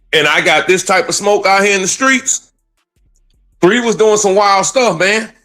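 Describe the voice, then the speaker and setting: A man's raised, projected, animated voice in a high pitch, at a moderate pace with ordinary pitch variation and very even loudness, over music in the background. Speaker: trial commentary co-host. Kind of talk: casual chat.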